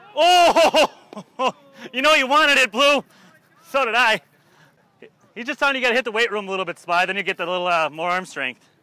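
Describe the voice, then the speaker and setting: In a raised, projected voice, a man talks at a very fast pace in an extremely high pitch with very wide pitch swings and long, frequent pauses, the sound dry and close with no echo. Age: 20s. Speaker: baseball player. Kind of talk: on-field chatter during a game. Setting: outdoors on a baseball field. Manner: animated.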